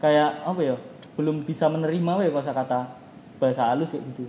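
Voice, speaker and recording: With a strong Javanese accent, a man talks fairly quickly at a fairly high pitch, his dark, mellow tone showing ordinary pitch variation. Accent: strong Javanese medok. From Palembang, Indonesia. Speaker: student club leader. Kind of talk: casual chat.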